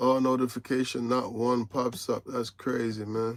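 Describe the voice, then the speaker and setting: This man has an American accent and a medium-pitched voice, speaking in a relaxed tone at a fairly slow pace with monotone, flat intonation. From Tennessee (Morristown), US South. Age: 40s. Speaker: truck driver, live streamer. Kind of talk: casual live stream chat reading viewer comments. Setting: in truck cab at the yard. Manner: relaxed, conversational.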